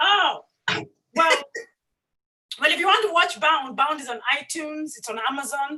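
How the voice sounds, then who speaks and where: A woman's high-pitched, bright and sharp voice, raised and projected, with lively intonation, big swings in loudness, a moderate pace and long, frequent pauses. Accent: African. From Africa. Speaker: filmmaker. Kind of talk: panel discussion.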